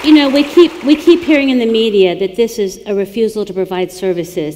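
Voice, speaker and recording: A woman is speaking. Noticeable background noise can be heard behind her. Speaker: policy organization president. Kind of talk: onstage interview questions.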